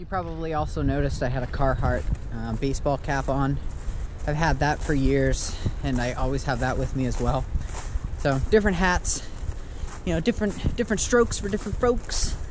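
A man at a fairly quick pace, dry with no echo, over noticeable background noise. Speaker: outdoor vlogger. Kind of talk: casual vlog chat. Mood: relaxed, amused. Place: forest. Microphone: phone near.

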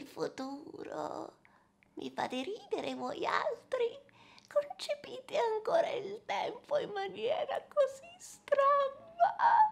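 A woman's extremely high voice with very wide pitch swings, at a very slow pace. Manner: cryptic, detached, amused.

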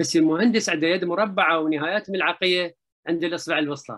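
A man with a high pitch talks at a fairly quick pace, his pitch varying in an ordinary way against a quiet background. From Iraq. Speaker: literature professor. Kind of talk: lecture. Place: home room. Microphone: webcam.

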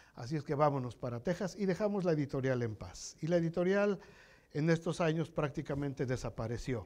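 A man talks at a fairly quick pace. His fairly high pitch carries lively intonation. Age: 60s. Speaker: pastor. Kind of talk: sermon. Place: church. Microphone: lapel.

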